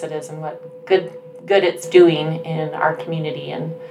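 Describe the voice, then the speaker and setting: This woman has an American accent and a fairly low pitch. She talks at a moderate pace over noticeable background noise. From Utah. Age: 40s. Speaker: nonprofit volunteer. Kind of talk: casual chat.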